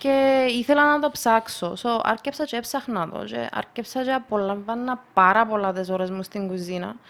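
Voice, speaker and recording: In a normal speaking voice, a woman talks at a moderate pace with hardly any pauses, a fairly high pitch and ordinary pitch variation. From Russia, moved to Cyprus at 12. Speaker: multi-sport enthusiast and photographer. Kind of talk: casual chat.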